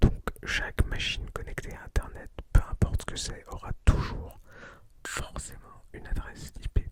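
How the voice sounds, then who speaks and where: Someone whispers at a fairly slow pace. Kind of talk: ASMR educational talk. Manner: whispered; soft, relaxing.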